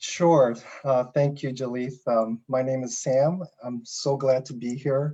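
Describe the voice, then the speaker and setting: Speaking at a fairly slow pace with big swings in loudness, a man uses an unremarkable speaking voice at medium pitch, his intonation fairly even. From United States, military family moving around. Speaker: church panelist. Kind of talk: panel discussion.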